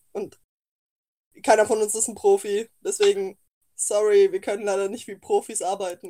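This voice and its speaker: A woman speaks at a moderate pace with long, frequent pauses, the sound dry and close with no echo. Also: big swings in loudness. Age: 20s. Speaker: podcast co-host. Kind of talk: casual chat.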